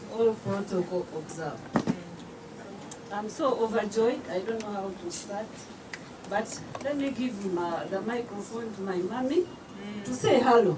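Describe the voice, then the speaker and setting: A woman's fairly high voice at a fairly slow pace, with long, frequent pauses, audible room echo and noticeable background noise. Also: ordinary pitch variation. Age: 60s. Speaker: author. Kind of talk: speech at a book launch. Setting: event hall with audience, microphone.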